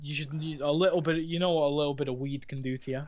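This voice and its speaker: In a Merseyside accent, a man talks at a fairly high pitch with fairly even intonation. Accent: Wirral. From Wirral, England (born in Liverpool). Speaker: caller. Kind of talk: casual chat.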